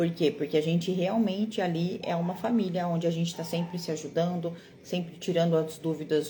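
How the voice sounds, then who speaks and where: Somewhat breathy, a woman speaks in a fairly low pitch with a dark, mellow tone and fairly even intonation. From Brazil, Mato Grosso do Sul (Campo Grande). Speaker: card-reading teacher and mentor. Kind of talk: live online class. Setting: livestream. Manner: encouraging, conversational.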